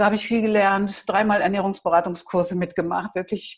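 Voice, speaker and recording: A woman speaks in an unremarkable speaking voice. Her pitch is medium, and her intonation is fairly even. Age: 60s. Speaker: massage and touch practitioner. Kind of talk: interview.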